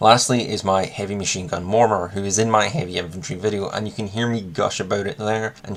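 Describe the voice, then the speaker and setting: A man with a Scottish accent talks very fast in a fairly low voice with fairly even intonation. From Scotland. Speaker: miniatures hobby youtuber. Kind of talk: casual video monologue.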